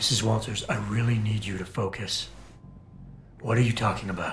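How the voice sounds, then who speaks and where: A man in a put-on character voice, raspy and medium in pitch, with monotone, flat intonation at a fairly quick pace over clear background noise. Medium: video game. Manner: calm, controlled.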